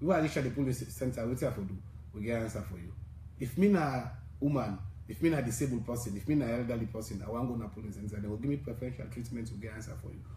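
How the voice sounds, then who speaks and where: With audible room echo, a man at medium pitch talks at a very fast pace, his dark, mellow tone somewhat breathy and his intonation lively. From Sierra Leone. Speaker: civil society election coalition leader. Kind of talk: radio interview.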